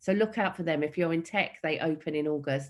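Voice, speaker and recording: Speaking in an East London accent, a woman has a very deep, low pitch. Her intonation stays fairly even at a fairly quick pace. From East London, Hackney. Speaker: motivational speaker and entrepreneur. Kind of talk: keynote talk. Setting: online event.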